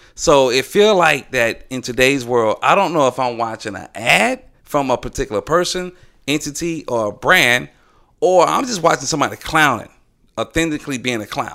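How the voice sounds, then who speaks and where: This man's fairly high voice has a bright, sharp tone and lively intonation at a moderate pace. The recording is very clean, with a silent background. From Atlanta, US South. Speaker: graphic designer. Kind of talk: casual chat.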